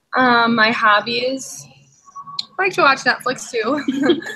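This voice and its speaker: A woman with an Upper Midwest accent, at a fairly slow pace. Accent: Upper Midwest American. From Minnesota, Princeton. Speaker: nursing student. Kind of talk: casual chat.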